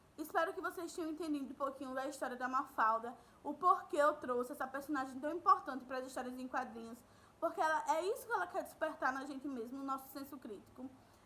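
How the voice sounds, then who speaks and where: In a raised, projected voice, a woman speaks at a very fast pace with high pitch, ordinary pitch variation and a bright, sharp tone. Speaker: school teacher. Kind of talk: recorded online lesson. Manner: warm, conversational.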